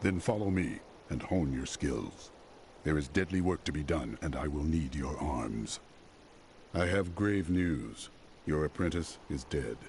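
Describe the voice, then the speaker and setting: A put-on character voice at a moderate pace, with long, frequent pauses and clear background noise. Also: man, very deep, low pitch for a man. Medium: video game. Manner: stern, blunt.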